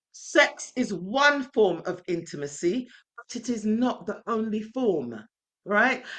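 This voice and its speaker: A woman with a fairly high pitch speaks at a very slow pace with vocal fry. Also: lively intonation. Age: 60s. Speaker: relationship coach. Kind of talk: webinar talk. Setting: online webinar.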